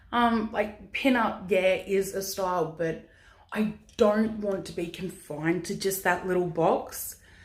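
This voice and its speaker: A woman speaks at a fairly slow pace with a medium pitch and fairly even intonation. There is audible room echo. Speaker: vlogger, pin-up model. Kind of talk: casual Q&A vlog. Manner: loud.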